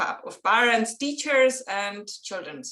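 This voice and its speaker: A woman's fairly high voice with a Czech accent, at a fairly slow pace. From Czech Republic. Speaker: children's author and illustrator. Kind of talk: interview. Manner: halting, non-native phrasing.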